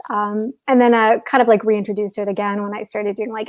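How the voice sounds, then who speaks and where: A woman's fairly high voice in a strong Chicago accent, monotone and flat, at a fairly quick pace. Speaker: software developer. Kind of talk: casual interview.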